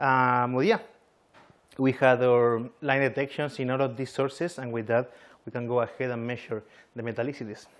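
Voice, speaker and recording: Against a quiet background, a man speaks at a medium pitch with fairly even intonation and long, frequent pauses. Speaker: astrophysicist giving a conference talk. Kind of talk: conference talk. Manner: fast; hesitant, many fillers.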